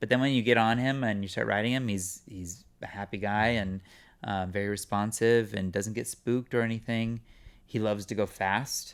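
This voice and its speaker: A normal speaking voice: a man with an American accent, fairly low in pitch, talking at a moderate pace with fairly even intonation. The recording is very clean, with a silent background. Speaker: actor. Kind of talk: casual chat.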